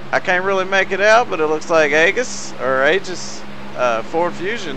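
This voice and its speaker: Moderate-paced talk from a man amid noticeable background noise. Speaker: sim racing broadcaster. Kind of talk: live race commentary.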